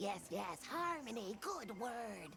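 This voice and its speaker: A put-on character voice at a fairly high pitch, over clear background noise. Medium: video game. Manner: broken grandiose grammar.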